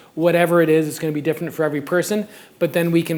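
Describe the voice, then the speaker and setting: A man's fairly high voice with a Canadian accent. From Canada. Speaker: circus coaching advisor, former gymnast. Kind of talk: conference presentation. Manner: fast.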